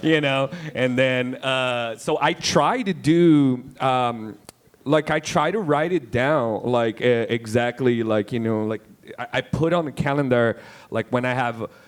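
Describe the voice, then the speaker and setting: A man speaks at a medium pitch and a fairly slow pace, with ordinary pitch variation. He has a Brazilian accent. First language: Portuguese. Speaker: independent filmmaker. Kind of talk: panel discussion. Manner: halting, many repetitions and fillers.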